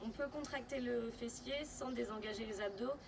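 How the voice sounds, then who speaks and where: A woman talks at a high pitch and moderate pace amid noticeable background noise. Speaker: pilates instructor. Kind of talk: tutorial.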